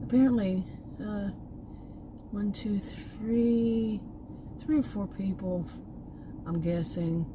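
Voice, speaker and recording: A woman with a Texan accent speaks at a very slow pace with long, frequent pauses. Noticeable background noise runs beneath her voice. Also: medium pitch for a woman, ordinary pitch variation. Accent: Texan, remarked as terrible by herself. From Texas. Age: 60s. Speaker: vlogger. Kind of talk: casual vlog monologue. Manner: rambling, halting with many fillers.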